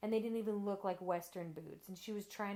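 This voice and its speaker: With fairly even intonation, a woman talks in an American accent. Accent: Texan country accent, stronger around family. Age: 20s. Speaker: interviewee. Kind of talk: casual interview chat.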